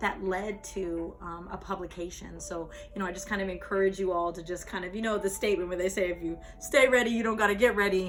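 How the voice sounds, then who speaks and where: A woman's medium-pitched voice with an American accent and fairly even intonation, audible room echo, and music in the background. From US West, Las Vegas. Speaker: spoken word poet. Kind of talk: talk with poetry reading. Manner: conversational, many fillers.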